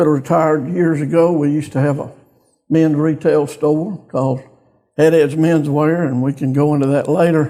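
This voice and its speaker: In a Louisiana accent, a man with a fairly high pitch and a dark, mellow tone speaks at a moderate pace with monotone, flat intonation. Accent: Southern US (Louisiana). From US South, northeast Louisiana. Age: 70s. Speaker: bank executive, community business leader. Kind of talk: interview.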